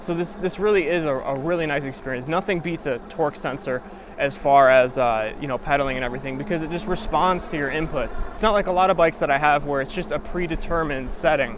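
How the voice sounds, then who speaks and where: Over noticeable background noise, a man with a fairly high voice races along very fast with hardly any pauses and ordinary pitch variation. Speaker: e-bike reviewer. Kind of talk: product review while riding. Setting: outdoors riding a bike. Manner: casual, with fillers.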